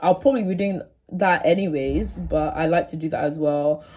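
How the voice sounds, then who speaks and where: A woman's somewhat breathy, fairly low voice with a dark, mellow tone, ordinary pitch variation and a moderate pace, against a quiet background. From England. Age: 18. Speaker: YouTuber, university student. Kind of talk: casual vlog to camera. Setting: home, sitting on floor of dorm room. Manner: casual, filler-heavy. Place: home room. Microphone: phone near.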